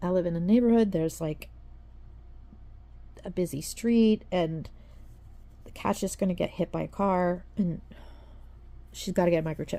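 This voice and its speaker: A woman's raspy, put-on character voice, fairly low in pitch, at a moderate pace with long, frequent pauses. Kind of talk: informal, casual.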